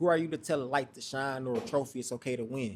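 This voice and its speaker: At a fairly quick pace, a man uses an ordinary speaking voice with medium pitch and fairly even intonation. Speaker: spoken word poet. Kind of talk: spoken word poetry performance.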